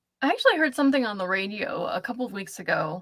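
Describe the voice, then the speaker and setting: The tone of this woman's voice is bright and sharp. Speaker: knitting and crochet technical editor. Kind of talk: interview. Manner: fast.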